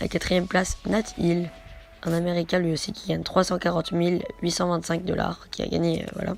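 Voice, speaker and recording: A woman's fairly low voice at a moderate pace, monotone with flat intonation, over music in the background. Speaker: gaming youtuber. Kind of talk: video countdown commentary.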